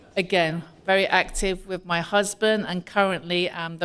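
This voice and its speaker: Here is a woman with a British accent and a fairly low pitch. She talks at a moderate pace with monotone, flat intonation. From UK. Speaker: community organization president. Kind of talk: welcome speech. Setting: community hall with audience.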